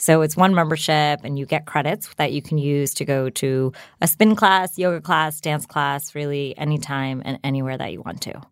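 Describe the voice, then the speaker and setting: A woman with a New Jersey accent at a very deep, low pitch, moderate pace, ordinary pitch variation and big swings in loudness, on a very clean recording with a silent background. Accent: American, New Jersey. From US, New Jersey. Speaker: startup founder. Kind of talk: interview. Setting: studio.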